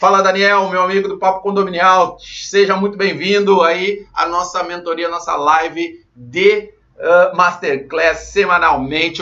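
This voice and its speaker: A high-pitched man at a fairly slow pace with fairly even intonation. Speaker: condominium management instructor. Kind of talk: live online class. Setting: livestream.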